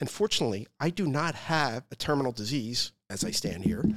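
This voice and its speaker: A man with an ordinary speaking voice, medium in pitch, lively in intonation, at a moderate pace. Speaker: podcast host. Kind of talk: interview conversation.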